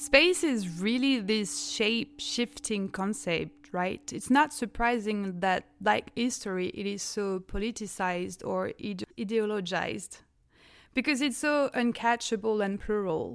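Speaking at a fairly slow pace in a French accent, a woman uses lively intonation and a fairly high pitch. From France. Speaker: graduate student. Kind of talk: casual academic conversation. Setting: video call.

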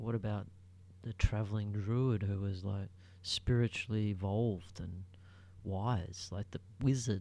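A soft-spoken man with a dark, mellow tone and a somewhat breathy sound keeps his intonation fairly even and leaves long, frequent pauses. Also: fairly low pitch for a man, fairly slow pace. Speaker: solo podcaster. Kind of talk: casual solo monologue. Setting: home recording at night. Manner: halting.

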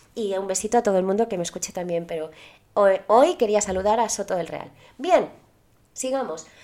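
Pausing long and often, a woman with a Spanish accent speaks in a dark, mellow tone with ordinary pitch variation. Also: medium pitch for a woman, moderate pace. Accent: Peninsular Spanish. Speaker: podcast host. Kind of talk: storytelling narration. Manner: casual, chatty.

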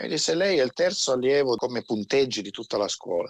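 A man speaks at a very fast pace and a medium pitch. The sound is dry and close, with no echo. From Turin, northern Italy. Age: 40s. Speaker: military veteran. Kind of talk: interview.

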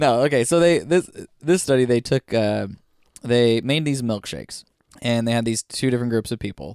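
At a moderate pace, a man talks in an animated tone with ordinary pitch variation, the sound dry and close with no echo. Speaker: podcast host. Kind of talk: casual banter podcast chat. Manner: animated, joking.

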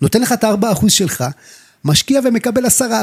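Music plays in the background as a man talks very fast, the sound dry and close with no echo. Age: 30s. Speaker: real estate agent. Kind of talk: casual chat. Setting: studio.

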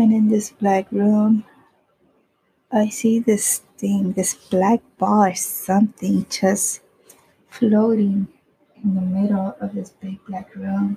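Slowly and with little pitch movement, a woman speaks in a dark, mellow tone with a husky, rough edge and vocal fry. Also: medium pitch for a woman.

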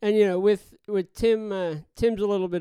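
With a Newfoundland accent and a dark, mellow tone, a man speaks at a fairly quick pace and fairly even intonation, in a dry, close sound with no echo. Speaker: audio engineer. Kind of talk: casual chat.

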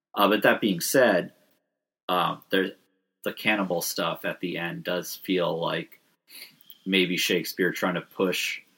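With a very deep, low pitch and vocal fry, a man speaks at a fairly slow pace. His tone is bright and sharp, and his pitch variation is ordinary. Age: 30s. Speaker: podcast co-host. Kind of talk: casual chat.

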